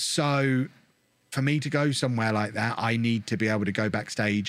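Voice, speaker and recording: A man with an English accent speaks in a fairly low pitch and ordinary pitch variation on a very clean recording with a silent background. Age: 30s. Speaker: gaming content creator. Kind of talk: interview.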